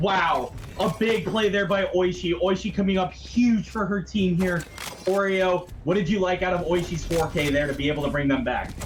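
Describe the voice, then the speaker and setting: A man's high-pitched voice with ordinary pitch variation, very even loudness and a moderate pace, over noticeable background noise. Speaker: esports caster. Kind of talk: live commentary. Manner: animated.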